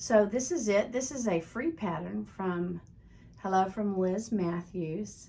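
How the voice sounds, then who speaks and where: A woman speaks at a medium pitch in a somewhat breathy voice. Her pace is very slow and her intonation lively. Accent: American. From Texas. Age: 60s. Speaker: craft video host. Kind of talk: casual show-and-tell vlog. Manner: conversational, with fillers.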